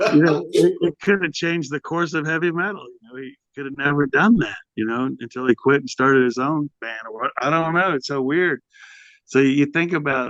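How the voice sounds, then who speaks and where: A normal speaking voice from a man with an American accent, fairly high in pitch with ordinary pitch variation and big swings in loudness, in a dry, close sound with no echo. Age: 60s. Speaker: heavy metal vocalist. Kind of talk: casual interview.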